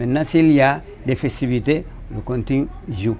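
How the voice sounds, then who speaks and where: With music playing behind him, a man speaks at a fairly high pitch with ordinary pitch variation. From Senegal, Casamance (Kassa region). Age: 70s. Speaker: traditional musician. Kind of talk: interview testimony. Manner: halting, with repetitions.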